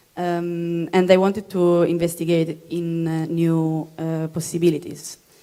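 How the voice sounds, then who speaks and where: Her intonation monotone and flat, a woman speaks at a fairly low pitch with an Italian accent. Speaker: material designer. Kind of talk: panel presentation. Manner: halting.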